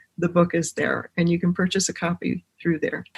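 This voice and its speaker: A woman with an American accent speaks in a somewhat breathy voice. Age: 60s. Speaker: genealogist and medium. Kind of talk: podcast interview.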